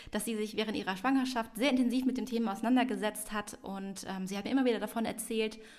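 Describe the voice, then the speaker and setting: A woman's fairly high voice moves at a very fast pace. Her intonation stays fairly even. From Hamburg, northern Germany. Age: 30s. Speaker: parenting podcast co-host. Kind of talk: casual chat. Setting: at a kitchen table.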